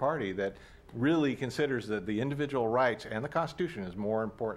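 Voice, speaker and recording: This man speaks very fast. The way his pitch moves is ordinary. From Oakland, California; California. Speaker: local party official; panelist on political commentary show. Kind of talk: panel discussion; political commentary discussion. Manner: halting with repetitions. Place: studio.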